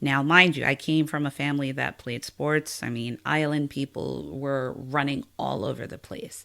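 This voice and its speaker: In a very deep, low pitch, a woman speaks at a fairly slow pace with an American accent. Her pitch varies in an ordinary way, and the recording is very clean with a silent background. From US, Washington DC. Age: 30s. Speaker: podcast guest sharing life story. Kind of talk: testimony.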